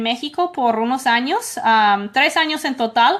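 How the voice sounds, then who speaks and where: A woman is talking. Her pitch is high. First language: English (speaking Spanish). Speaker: immigration lawyer. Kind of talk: call-in Q&A show. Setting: at home.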